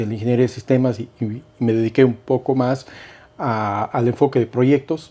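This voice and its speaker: A man speaks at a moderate pace. His medium-pitched voice has a dark, mellow tone. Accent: Cuenca Ecuadorian. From Ecuador, Cuenca. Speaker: investment and insurance broker. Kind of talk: casual interview. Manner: hesitant, many fillers.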